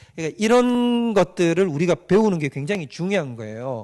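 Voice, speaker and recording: Over a quiet background, a man talks at a very fast pace. His high voice makes very wide pitch swings. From Gyeongsang Province, South Korea. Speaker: pastor. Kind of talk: lecture. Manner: interactive, frequent rhetorical questions to audience.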